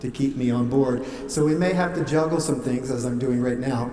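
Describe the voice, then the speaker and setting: Amid noticeable background noise and audible room echo, a man speaks at medium pitch with fairly even intonation. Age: 60s. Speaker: wedding officiant. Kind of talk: wedding ceremony address. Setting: wedding venue with guests.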